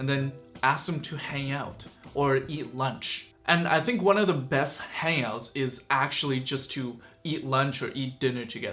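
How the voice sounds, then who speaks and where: A man's fairly high voice at a moderate pace, with ordinary pitch variation over noticeable background noise. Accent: Chinese. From China (Chongqing), moved to Canada as a child. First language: Chinese. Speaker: YouTuber. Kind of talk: casual Q and A vlog. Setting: sitting in front of camera with a light.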